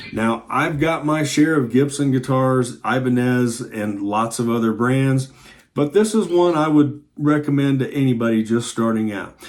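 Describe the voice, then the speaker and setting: Medium in pitch, a man's voice carries ordinary pitch variation. He speaks at a moderate pace. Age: 60s. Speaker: guitar teacher. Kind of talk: tutorial. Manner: animated.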